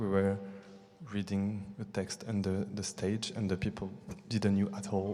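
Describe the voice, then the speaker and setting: The speaker talks at a fairly slow pace in a monotone, flat intonation over noticeable background noise. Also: man. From France and Brazil. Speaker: theatre artist. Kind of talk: post-show audience discussion. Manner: halting.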